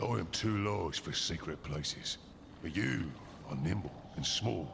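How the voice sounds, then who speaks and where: A man puts on a character voice at a very deep, low pitch and a moderate pace. Loud background noise runs underneath. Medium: video game. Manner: slow, grave.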